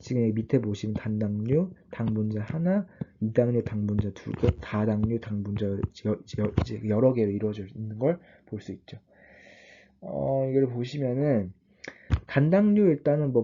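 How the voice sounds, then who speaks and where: This man has a dark, mellow tone at a medium pitch. He talks at a moderate pace with ordinary pitch variation. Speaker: online biology tutor. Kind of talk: lecture. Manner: halting, self-correcting.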